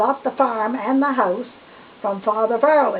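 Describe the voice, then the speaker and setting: A woman with an Atlantic Canadian accent speaks in a fairly high voice with lively intonation over noticeable background noise. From New Brunswick, Canada. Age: 80s+. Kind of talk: interview answer. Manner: hesitant, reminiscing.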